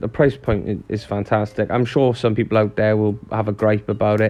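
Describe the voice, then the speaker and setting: A man talks with a Welsh accent. His pitch sits in the medium range. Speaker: model railway YouTuber. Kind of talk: unboxing review. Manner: casual, chatty.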